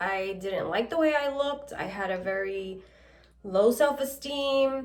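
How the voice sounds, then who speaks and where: With lively intonation, a woman speaks at a fairly high pitch in an unremarkable speaking voice. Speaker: vlogger. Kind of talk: casual chat.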